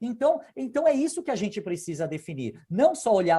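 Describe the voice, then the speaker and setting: Speaking at a fairly quick pace, a man uses very wide pitch swings and a dark, mellow tone. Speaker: lawyer. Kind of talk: interview.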